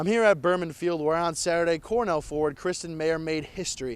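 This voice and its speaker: With a plain, everyday voice, a man talks at a fairly quick pace in a fairly high pitch. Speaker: sports reporter. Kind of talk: sports news report.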